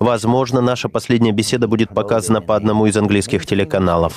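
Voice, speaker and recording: A fairly low-pitched man at a very fast pace, with fairly even intonation. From US. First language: English (speaking Russian). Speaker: podcast host. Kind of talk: interview.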